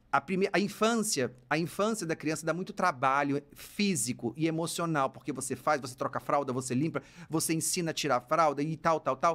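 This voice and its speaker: At a fairly quick pace, a man with a fairly high pitch and ordinary pitch variation speaks on a very clean recording with a silent background. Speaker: psychologist and university professor podcast host. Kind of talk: casual advice podcast monologue. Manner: very fast speech; animated, gesturing.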